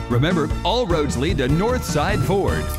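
A man with an American accent at a moderate pace, over loud background music. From United States. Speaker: voice actor. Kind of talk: TV commercial read. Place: studio.

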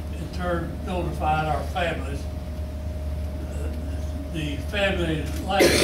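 A man with an American accent at a very slow pace, over loud background noise. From Kentucky, USA. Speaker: war veteran. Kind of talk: interview answer. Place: meeting room. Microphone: camera far.

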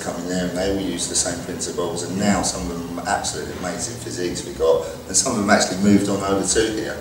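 Over music in the background and audible room echo, a man with a very deep, low pitch talks very fast with fairly even intonation. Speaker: gym owner or trainer. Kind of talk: interview answer. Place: gym. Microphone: camera far.

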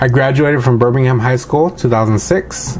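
Over light background noise, a man with a Californian accent talks at a fairly slow pace, his medium pitch held in fairly even intonation. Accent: Californian American English. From Los Angeles, San Fernando Valley. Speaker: army veteran and nursing student. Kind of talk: video essay monologue. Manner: casual, with filler words. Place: home room. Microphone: webcam.

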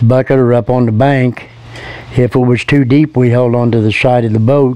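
At a moderate pace, a man with a Midwestern US accent speaks at medium pitch in a flat monotone, with a dry sound and no echo. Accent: rural Midwestern American. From Indiana, Hillsdale; Indiana. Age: 70s. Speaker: retired local recalling childhood. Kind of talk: interview recollection. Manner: halting, with fillers and repeats. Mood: fond, relaxed reminiscing. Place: garden.

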